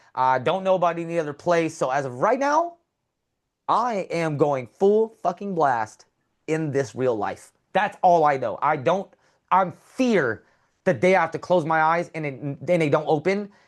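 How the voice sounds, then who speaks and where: Speaking with an American accent, a high-pitched man uses lively intonation. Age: 30s. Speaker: balance performer and world record holder. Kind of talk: interview, casual chat. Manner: fast, animated.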